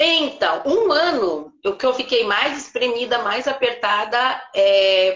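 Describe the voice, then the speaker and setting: A woman speaks at a very slow pace with lively intonation. Her pitch is fairly high. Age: 60s. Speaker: retired teacher and private tutor. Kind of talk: live stream interview.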